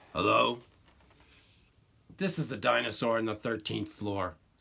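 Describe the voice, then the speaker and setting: A man puts on a raspy character voice at medium pitch and a moderate pace. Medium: read story.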